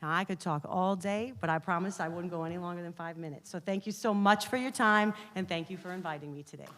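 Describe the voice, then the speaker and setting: This woman speaks very fast in a fairly low voice, with hardly any pauses. Her loudness swings widely. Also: ordinary pitch variation. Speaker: university researcher. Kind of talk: presentation.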